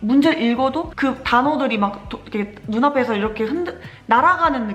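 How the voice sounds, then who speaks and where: Over noticeable background noise, a woman with a high pitch and lively intonation speaks at a moderate pace. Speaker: nursing graduate vlogger. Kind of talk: casual vlog storytelling. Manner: animated, voice rising when excited.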